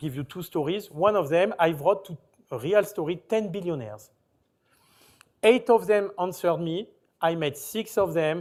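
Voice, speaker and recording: Speaking in a French accent, a man uses a high pitch and lively intonation at a moderate pace, with big swings in loudness. Long, frequent pauses sit in a very clean recording with a silent background. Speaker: company founder, panelist. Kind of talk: panel discussion. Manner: halting.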